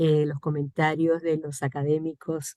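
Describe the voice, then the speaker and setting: A woman speaks with a very deep, low pitch at a very slow pace. The sound is dry and close, with no echo. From Cuba. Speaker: poet and translator. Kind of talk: audience comment at virtual book launch.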